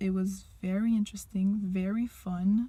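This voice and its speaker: A somewhat breathy woman's voice with a Quebec accent, medium in pitch and dark, mellow in tone. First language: French. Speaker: language teacher. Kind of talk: personal monologue to camera.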